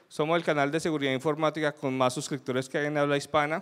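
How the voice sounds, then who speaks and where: A man's fairly high voice against a quiet background. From Colombia. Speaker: security consultant, conference speaker; conference speaker. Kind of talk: conference talk. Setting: stage with audience. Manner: animated. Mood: light, humorous. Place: hall.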